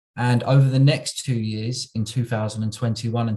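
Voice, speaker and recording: The voice is somewhat breathy with a dark, mellow tone and fairly even intonation. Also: man. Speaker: local government automation manager. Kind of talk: conference presentation. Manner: slow, deliberate; hesitant, many fillers.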